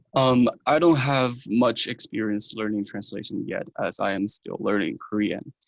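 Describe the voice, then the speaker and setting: Ordinary pitch variation marks this voice, which speaks with a Chinese accent. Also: man. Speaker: university student. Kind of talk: interview. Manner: hesitant, with filler ums.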